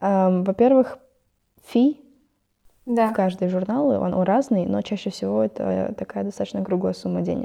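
A woman talks at a moderate pace, stopping for long, frequent pauses. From Kazakhstan, Ust-Kamenogorsk. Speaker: biology student. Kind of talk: casual interview.

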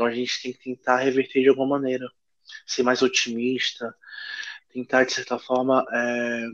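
A man's monotone, flat delivery at a moderate pace, with big swings in loudness, long, frequent pauses and a dry, close sound with no echo. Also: medium pitch for a man. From Pará, northern Brazil. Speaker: chef and restaurant owner. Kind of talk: casual interview.

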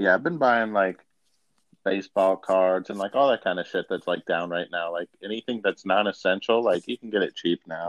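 With an American accent and a normal speaking voice, a man talks at a moderate pace, his pitch fairly low and its variation ordinary. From Buffalo, New York. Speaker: podcast co-host. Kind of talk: casual comedic chat. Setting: remote phone-in recording via app. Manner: jokey, laughing.

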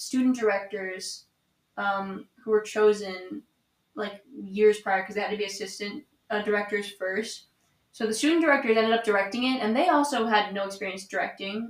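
A woman with an ordinary speaking voice and ordinary pitch variation talks fairly quickly. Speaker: theater student. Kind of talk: casual chat.

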